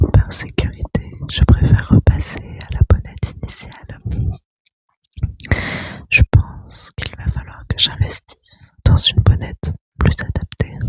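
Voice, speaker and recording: A woman whispers very slowly, with long, frequent pauses and big swings in loudness. The sound is dry and close, with no echo. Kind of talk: ASMR whispering to listener. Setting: close microphone, high gain. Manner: whispered, soft-spoken.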